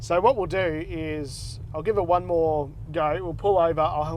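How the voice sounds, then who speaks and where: This is a man speaking with an Australian accent. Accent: thick Australian. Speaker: car vlogger. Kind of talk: casual vlog while driving.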